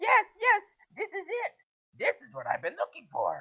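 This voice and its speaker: Squeaky and pitched extremely high, a put-on character voice speaks at a moderate pace. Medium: actual play. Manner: impatient, commanding.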